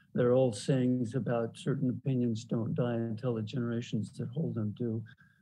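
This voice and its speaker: A man with a dark, mellow, somewhat breathy tone speaks at a moderate pace with fairly even intonation. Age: 70s. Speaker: panelist. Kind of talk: panel discussion. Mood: reflective, encouraging. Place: home room. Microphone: video call.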